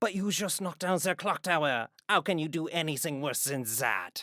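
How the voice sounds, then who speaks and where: A put-on character voice sits at a middle pitch and moves at a moderate pace. The recording is very clean, with a silent background. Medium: stage play. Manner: hesitant.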